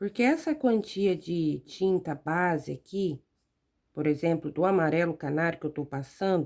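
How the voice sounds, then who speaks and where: A soft-spoken woman talks at a fairly low pitch and a fairly slow pace, with ordinary pitch variation. The recording is very clean, with a silent background. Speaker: fabric painting teacher. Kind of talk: tutorial. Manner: gets quieter while absorbed in painting.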